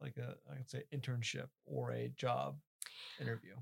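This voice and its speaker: A man talks in a somewhat breathy voice. The sound is dry and close, with no echo. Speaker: podcast host. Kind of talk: interview.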